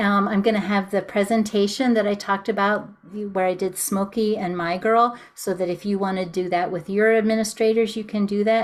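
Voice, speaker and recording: A woman talks at a fairly quick pace with medium pitch. Her intonation is monotone and flat. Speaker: music teacher running a webinar. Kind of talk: webinar sales pitch. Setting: Zoom video call. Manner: many filler ums.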